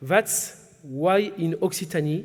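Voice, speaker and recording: Intonation stays fairly even as a man speaks with a French accent. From southwest France. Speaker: regional business chamber president. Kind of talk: formal speech. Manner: formal.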